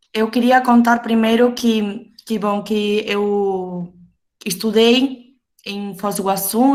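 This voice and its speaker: The speaker has a Uruguayan accent. The intonation is fairly even. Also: woman. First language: Spanish (speaking Portuguese). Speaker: geographer, university researcher. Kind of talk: panel talk. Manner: halting.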